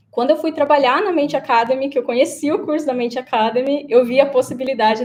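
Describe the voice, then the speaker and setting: A woman's dark, mellow tone at a fairly quick pace, with ordinary pitch variation. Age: 20s. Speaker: career changer, former sales consultant. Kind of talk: webinar interview.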